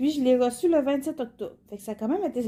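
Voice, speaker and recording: Her tone is dark and mellow. The woman's intonation is lively. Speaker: cross-stitch YouTuber. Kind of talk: casual product unboxing vlog. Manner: hesitant, many fillers.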